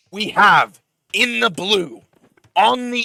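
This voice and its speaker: Raising and projecting his voice, a man speaks with a bright, sharp tone and lively intonation, the sound dry and close with no echo. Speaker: esports caster. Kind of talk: live commentary. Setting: live stream. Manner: loud.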